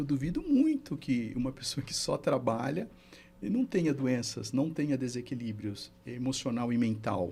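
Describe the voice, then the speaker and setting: With music in the background, a man speaks at medium pitch and a moderate pace, showing ordinary pitch variation. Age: 60s. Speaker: therapist and mentor. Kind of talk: podcast interview.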